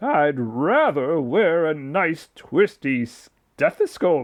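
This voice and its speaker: A man's put-on character voice, fairly high for a man, very slow, with lively intonation. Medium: read story.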